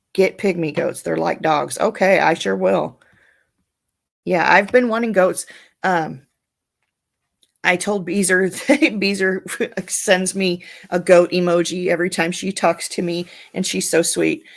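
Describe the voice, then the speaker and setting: The speech is fairly slow and monotone, with flat intonation, vocal fry and long, frequent pauses. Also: woman, fairly low pitch for a woman. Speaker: live streamer. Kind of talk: casual chat. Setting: live stream.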